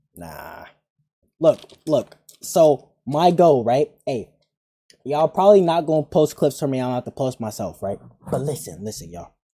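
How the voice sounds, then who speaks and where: The delivery moves at a moderate pace, broken by long, frequent pauses. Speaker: gaming streamer. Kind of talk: live stream commentary.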